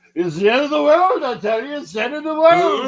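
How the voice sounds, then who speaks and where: Putting on a character voice with a strong Irish accent, a man speaks at a fairly quick pace in an extremely high pitch. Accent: heavy Irish brogue. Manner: doom-laden, insistent.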